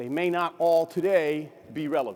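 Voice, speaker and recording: This man's voice sits high in pitch, with fairly even intonation. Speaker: defense department chief information officer. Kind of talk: keynote speech. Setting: conference stage with audience. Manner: conversational, informal.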